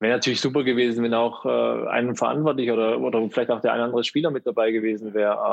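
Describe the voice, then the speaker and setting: Over noticeable background noise, a man talks very fast with hardly any pauses, his medium pitch, fairly even intonation and very even loudness holding throughout. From Baden-Württemberg, Germany. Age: 30s. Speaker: pageant titleholder and LGBTQ sports activist. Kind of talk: casual interview chat.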